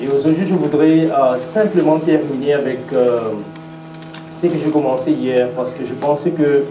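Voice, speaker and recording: A man's fairly high voice with an English accent, ordinary pitch variation and a fairly slow pace, with audible room echo and music in the background. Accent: English-speaking accent in French. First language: English (speaking French). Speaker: preacher. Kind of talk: sermon. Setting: church seminar with audience. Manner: halting, many hesitations.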